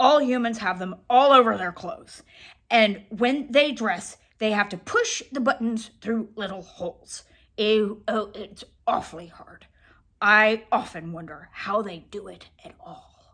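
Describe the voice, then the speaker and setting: Putting on a gruff character voice, a woman talks fairly slowly at a fairly high pitch. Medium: read story. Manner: know-it-all, lecturing; gruff, easily irritated.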